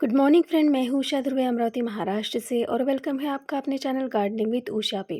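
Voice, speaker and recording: Her pitch high, a woman talks at a moderate pace with ordinary pitch variation. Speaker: gardening YouTuber. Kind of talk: tutorial. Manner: halting, many fillers.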